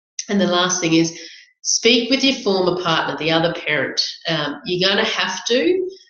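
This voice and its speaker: A woman speaks at a medium pitch with lively intonation. Room echo is audible around her voice. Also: moderate pace. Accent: Australian. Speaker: family lawyer, webinar host. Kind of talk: webinar presentation. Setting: online webinar.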